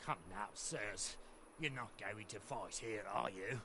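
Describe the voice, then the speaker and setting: Through loud background noise, a man does a put-on character voice at a fairly low pitch, speaking fairly slowly. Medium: video game.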